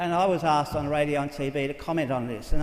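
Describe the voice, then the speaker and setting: In an Australian accent, a man speaks at a fairly quick pace with a fairly high pitch, and room echo is audible. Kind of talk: conference talk. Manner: fast; animated.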